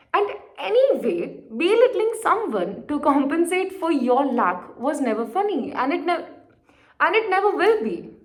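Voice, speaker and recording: A woman with an Indian accent speaks in an animated tone at a high pitch, her voice swinging very widely up and down, with audible room echo. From India, Marwari-speaking region. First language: Marwari. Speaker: poetry vlogger. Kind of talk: casual vlog monologue.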